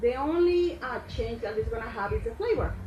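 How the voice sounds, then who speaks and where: With music in the background and audible room echo, a woman with a Mexican accent speaks in very wide pitch swings. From Mexico. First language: Spanish. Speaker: chef. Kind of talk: cooking tutorial.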